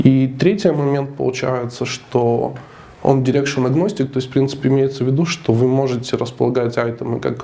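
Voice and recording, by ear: Over faint background noise, a man with a nasal, dark, mellow tone and vocal fry talks fairly quickly at a medium pitch.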